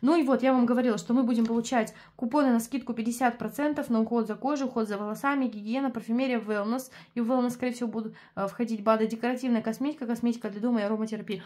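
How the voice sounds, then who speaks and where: A woman talks at a very fast pace, her fairly high voice dark and mellow in tone. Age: 20s. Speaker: beauty product reviewer and sales consultant. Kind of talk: product review vlog. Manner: animated.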